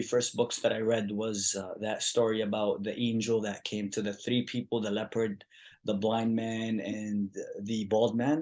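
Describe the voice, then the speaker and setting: A man with an Arabic accent speaks at a medium pitch and a moderate pace against a quiet background. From Yemen. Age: 20s. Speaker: activist. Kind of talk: casual chat.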